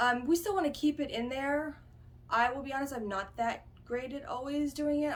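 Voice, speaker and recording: A woman speaks over noticeable background noise. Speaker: fitness vlogger. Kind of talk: casual talk to camera. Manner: fast; hesitant, many fillers.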